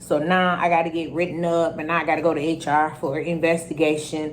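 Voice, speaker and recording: A woman speaks at a moderate pace in a fairly low voice. Audible room echo surrounds her. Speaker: YouTuber telling her own story. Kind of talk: storytime vlog. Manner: loud.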